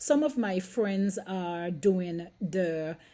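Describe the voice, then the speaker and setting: A woman's medium-pitched voice, dark and mellow, with a Caribbean accent. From St Kitts, Caribbean. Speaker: nurse and vlogger. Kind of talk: casual vlog monologue. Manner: hesitant, with fillers.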